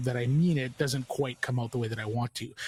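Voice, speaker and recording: Very fast and somewhat breathy, a man of medium pitch speaks with fairly even intonation on a very clean recording with a silent background. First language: French. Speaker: podcast host. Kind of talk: casual chat. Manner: halting; stilted when reading aloud.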